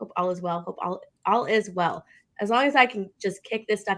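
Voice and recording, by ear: Using a raspy put-on character voice, a woman speaks at a moderate pace and medium pitch.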